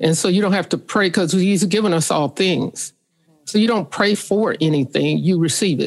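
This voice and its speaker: With an American accent and some vocal fry, a woman speaks at a medium pitch and moderate pace, her pitch varying in an ordinary way and her loudness very even. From US Midwest, St. Joseph, Missouri. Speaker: author. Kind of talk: casual chat.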